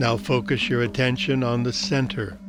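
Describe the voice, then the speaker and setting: Over music in the background, a man speaks in a soothing tone. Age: 80s+. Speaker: meditation guide. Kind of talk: guided meditation. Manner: slow, soothing.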